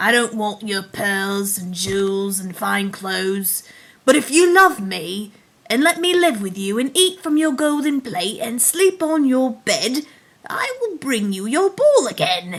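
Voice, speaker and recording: Putting on a character voice, a woman speaks. Her pace is fairly slow. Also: fairly high pitch for a woman. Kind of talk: bedtime story. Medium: read story.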